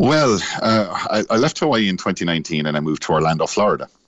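There is noticeable background noise behind this man. His voice has ordinary pitch variation. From Ireland, Cork. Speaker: navy veteran. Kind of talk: casual chat. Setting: phone call.

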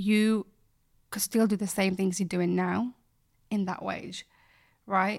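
A woman's medium-pitched voice in a Yorkshire accent, monotone and flat, at a fairly slow pace with long, frequent pauses, on a very clean recording with a silent background. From Bradford, West Yorkshire, England. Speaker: fashion creative and presenter. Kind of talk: casual interview chat.

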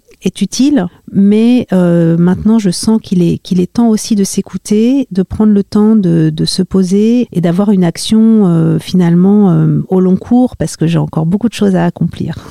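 Speaking at a fairly slow pace, a woman of medium pitch has a dark, mellow tone and ordinary pitch variation. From Paris region, France. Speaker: human rights and gender specialist. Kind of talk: interview. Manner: halting, many hesitations.

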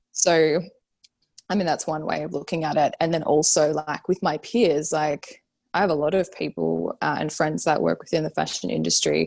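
Speaking at a moderate pace, a woman with an Australian accent comes through with a dry, close sound with no echo. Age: 30s. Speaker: fashion designer and brand founder. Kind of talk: casual interview chat.

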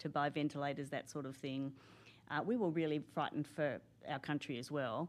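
Speaking with an Australian accent, the woman has a very deep, low pitch. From Australia, Canberra. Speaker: senior public servant. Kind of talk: interview.

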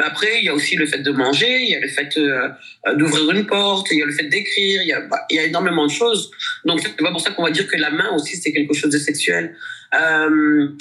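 A woman with a very deep, low pitch talks at a fairly quick pace amid noticeable background noise. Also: ordinary pitch variation, very even loudness. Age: 40s. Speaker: dancer, actress and dance teacher. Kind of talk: interview. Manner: hesitant, many fillers.

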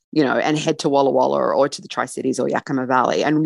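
Very fast speech comes through with a dry, close sound with no echo over a quiet background. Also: woman. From Australia. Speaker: travel writer. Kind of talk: interview.

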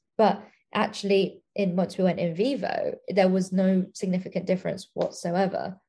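A woman's somewhat breathy, dark and mellow voice in an English accent, with monotone, flat intonation. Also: medium pitch for a woman, moderate pace. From England. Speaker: scientist. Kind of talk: casual interview.

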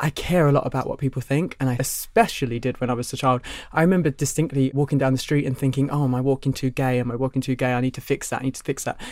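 A man with a Cockney accent at a very fast pace, hardly any pauses, fairly even intonation, in a very clean recording with a silent background. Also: medium pitch for a man. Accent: Cockney London English. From London. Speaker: drag queen. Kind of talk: casual chat.

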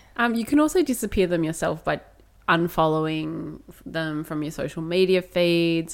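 Recorded very cleanly against a silent background, a woman talks at a moderate pace in an unremarkable speaking voice, fairly low in pitch with ordinary pitch variation. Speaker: podcast co-host. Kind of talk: casual chat.

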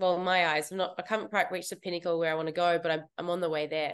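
Over a quiet background, a woman with an Australian accent speaks at a very fast pace and medium pitch in a flat monotone. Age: 30s. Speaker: fitness competitor and coach. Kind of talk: interview.

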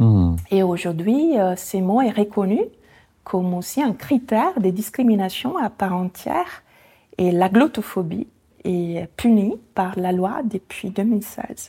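A woman with an Italian accent speaks at a very slow pace and medium pitch, with ordinary pitch variation. Her tone is dark and mellow, somewhat breathy, on a very clean recording with a silent background. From Italy, near Venice. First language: Italian (speaking French). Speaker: association founder. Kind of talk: interview.

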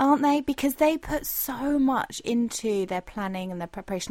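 In a British accent, a woman talks at a fairly quick pace with lively intonation. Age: 30s. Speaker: podcast host and leisure rider. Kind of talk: podcast interview.

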